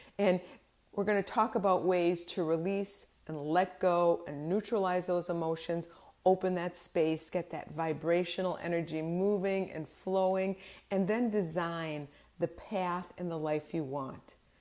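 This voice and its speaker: The delivery comes at a fairly slow pace with fairly even intonation. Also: woman, fairly low pitch for a woman. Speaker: life coach. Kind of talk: motivational talk to camera.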